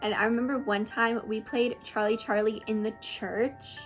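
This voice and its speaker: Music plays in the background as a woman speaks at a fairly high pitch in an animated tone. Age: 20s. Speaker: content creator. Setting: at home.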